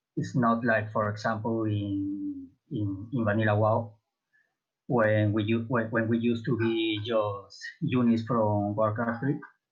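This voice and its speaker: Speaking at a fairly slow pace, a man keeps a medium pitch and a flat, monotone intonation with very even loudness. Audible room echo surrounds his voice. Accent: non-native. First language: not English. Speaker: MMO roundtable panelist. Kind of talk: casual panel discussion. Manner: halting, many hesitations.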